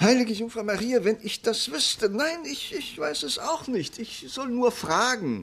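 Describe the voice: A man does a put-on character voice at an extremely high pitch, with big swings and a fairly bright tone. He speaks fairly slowly, with vocal fry.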